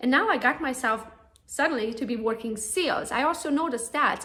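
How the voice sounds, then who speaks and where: In a Romanian accent, a woman speaks at a high pitch, with room echo and noticeable background noise audible. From Romania, Transylvania. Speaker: real estate agent. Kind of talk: conference talk. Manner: animated.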